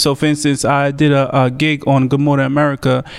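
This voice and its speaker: Amid noticeable background noise, a man with a New York accent and a fairly high voice talks at a fairly quick pace. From New York, Staten Island. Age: 20s. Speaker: comedian and podcast host. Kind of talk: casual chat. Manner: animated.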